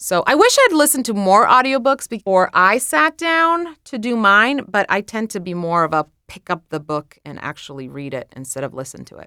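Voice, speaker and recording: A woman speaks at a medium pitch in a bright, sharp tone, with hardly any pauses. Her pitch swings very widely and her loudness shifts a lot, with a dry, close sound and no echo. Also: moderate pace. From Croatia. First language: Croatian. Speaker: author and social media creator. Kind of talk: interview answers and reading aloud from memoir.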